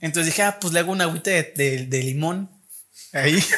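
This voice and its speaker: A very fast, high-pitched man's voice with a Mexican accent and ordinary pitch variation. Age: 20s. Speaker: university student and podcast host. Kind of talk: casual chat.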